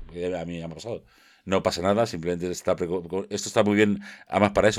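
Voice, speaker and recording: A man's very deep, low pitch at a very fast pace, with ordinary pitch variation, on a very clean recording with a silent background. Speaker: tech podcast co-host. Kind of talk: casual chat.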